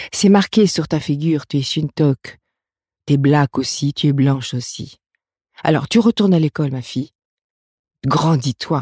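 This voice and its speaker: A woman with a very deep, low voice and a dark, mellow, somewhat breathy tone speaks at a fairly slow pace with long, frequent pauses and ordinary pitch variation, on a very clean, dry, close recording with a silent background and no echo. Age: 50s. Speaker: midwife and therapist. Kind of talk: interview. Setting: studio.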